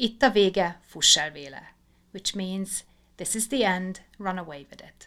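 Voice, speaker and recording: A woman at medium pitch with a bright, sharp tone and big swings in loudness. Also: ordinary pitch variation, fairly slow pace. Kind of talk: scripted fairy-tale narration. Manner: measured, storytelling cadence.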